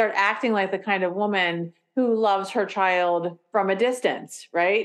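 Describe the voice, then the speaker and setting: With a plain, everyday voice, a woman speaks at a fairly slow pace and medium pitch, with fairly even intonation and very even loudness against a quiet background. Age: 40s. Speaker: clinical therapist and author. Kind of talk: casual interview.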